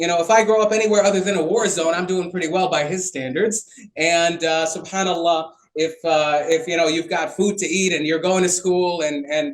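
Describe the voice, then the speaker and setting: A man with a Chicago accent talks at a fairly quick pace. His pitch is high, and his intonation stays fairly even. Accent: Chicago American English. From US Midwest, Chicago. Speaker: physician speaking on mental health. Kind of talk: panel talk. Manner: halting, many repetitions.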